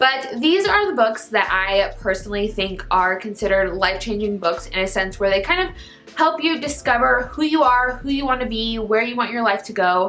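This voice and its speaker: With hardly any pauses, a woman speaks at a fairly high pitch with lively intonation, amid audible room echo and noticeable background noise. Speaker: book YouTuber. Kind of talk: casual vlog talk to camera. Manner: fast.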